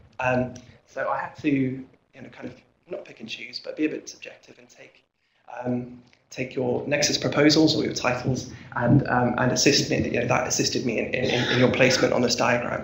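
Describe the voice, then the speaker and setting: A man with an American accent speaks at a fairly quick pace and medium pitch, his intonation monotone and flat. His loudness swings widely, and there is audible room echo. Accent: English, noticeable to a US audience. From England, Norwich. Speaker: research fellow. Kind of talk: conference presentation. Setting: conference room with audience. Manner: halting, many fillers and repetitions.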